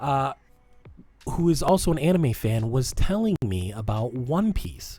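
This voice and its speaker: Music plays in the background as a man with an American accent speaks at a fairly slow pace. His medium-pitched voice moves in very wide pitch swings. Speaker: podcast co-host. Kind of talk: self-promotion plug; casual chat. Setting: live-streamed podcast.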